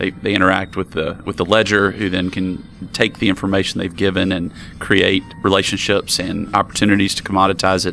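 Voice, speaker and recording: A man with a Southern US accent, very deep and low in pitch, bright and sharp in tone, with monotone, flat intonation. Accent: southern drawl. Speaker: crypto podcast interviewer. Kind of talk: interview. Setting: conference interview room.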